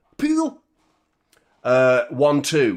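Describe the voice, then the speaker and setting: A man with a Manchester accent speaks with lively intonation. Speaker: football fan channel host. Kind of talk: live watchalong chat. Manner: animated.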